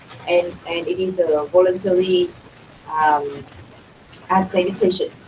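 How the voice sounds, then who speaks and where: A woman with a fairly low pitch at a fairly slow pace, noticeable background noise behind her. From Vietnam. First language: Vietnamese. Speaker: NGO representative, panelist. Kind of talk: panel discussion. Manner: halting, many fillers and repetitions.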